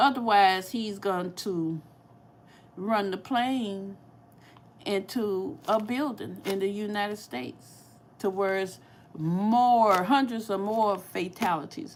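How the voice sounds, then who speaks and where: With a St. Louis accent, this speaker talks at a very slow pace with ordinary pitch variation and long, frequent pauses. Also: woman. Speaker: cooking YouTuber. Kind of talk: casual livestream chat.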